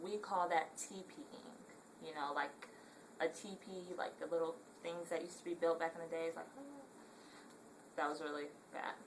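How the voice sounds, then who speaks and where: Lively intonation marks this Southern California accent, heard over noticeable background noise. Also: woman. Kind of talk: casual talk to camera.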